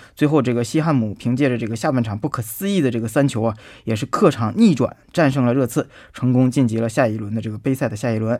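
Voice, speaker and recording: At a very fast pace, the speaker uses ordinary pitch variation in a very clean recording with a silent background. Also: man, medium pitch for a man. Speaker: sports commentator. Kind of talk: radio sports news talk. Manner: filler-heavy, hesitant.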